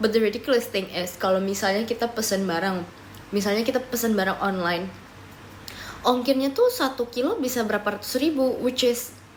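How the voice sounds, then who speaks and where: Against noticeable background noise, a woman talks fairly quickly at a fairly high pitch with ordinary pitch variation. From Papua, Indonesia (Timika). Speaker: live streamer. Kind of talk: casual live stream chat. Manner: casual, mixing Indonesian and English.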